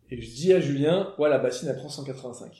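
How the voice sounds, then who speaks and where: A man speaks at a fairly quick pace in a dark, mellow tone. His voice carries vocal fry, with fairly even intonation. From southern France. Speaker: motorcycle traveller. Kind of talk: casual chat. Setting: dinner table.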